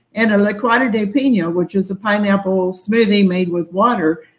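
Her voice comes across as somewhat breathy. This woman keeps a moderate pace. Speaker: relocation tour company owner and live stream host. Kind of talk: live stream interview.

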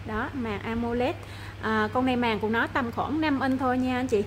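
A woman at a moderate pace, high in pitch with fairly even intonation, over light background noise. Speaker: phone shop seller. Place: shop. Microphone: phone near.

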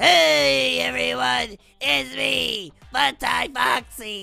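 A raspy put-on character voice with a low-to-middle pitch moves along at a very slow pace.

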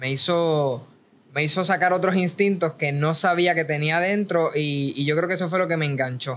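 In a plain, everyday voice, a man speaks at a moderate pace and a fairly high pitch, with fairly even intonation and very even loudness. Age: 20s. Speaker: boxing content creator; podcast guest. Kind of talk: casual chat. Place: studio. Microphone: studio mic.

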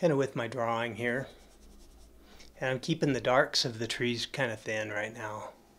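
A man with an American accent speaks at a moderate pace with fairly even intonation. He leaves long, frequent pauses. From Colorado, USA. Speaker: oil painter. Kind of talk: live painting demonstration. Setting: studio. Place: studio.

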